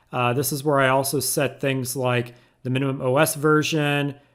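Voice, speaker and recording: Fairly high in pitch with fairly even intonation, a man speaks at a moderate pace in a normal speaking voice, captured in a very clean recording with a silent background. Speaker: tech YouTuber. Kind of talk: tutorial.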